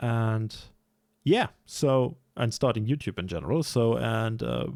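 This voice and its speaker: A man is speaking. He has a German accent. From Germany. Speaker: sim racing YouTuber. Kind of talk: casual vlog commentary. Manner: hesitant, many fillers.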